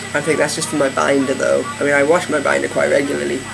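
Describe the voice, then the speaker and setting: A man is speaking with music playing in the background. There is audible echo in the room. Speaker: video blogger. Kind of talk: vlog update. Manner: hesitant, many fillers.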